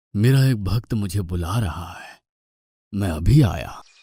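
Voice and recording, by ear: Raspy and fairly low, a man's cartoonish character voice moves at a fairly slow pace with lively intonation.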